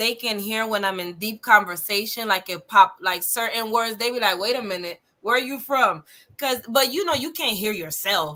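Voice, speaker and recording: Lively in intonation and fairly high in pitch, a woman speaks at a moderate pace in a bright, sharp tone. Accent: Caribbean. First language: Spanish. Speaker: podcast co-host. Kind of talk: casual chat.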